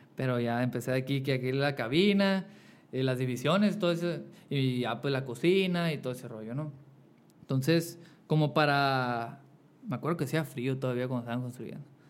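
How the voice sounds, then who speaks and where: The speaker keeps a moderate pace and uses ordinary pitch variation. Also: man, medium pitch for a man. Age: 20s. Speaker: singer-songwriter and barber. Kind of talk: casual interview.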